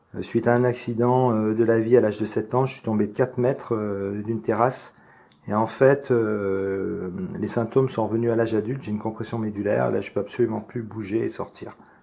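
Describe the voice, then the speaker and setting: A man's dark, mellow tone at medium pitch, fairly quick in pace and monotone, flat in intonation. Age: 50s. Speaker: UFO witness, amateur photographer. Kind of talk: testimony. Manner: hesitant, many filler sounds.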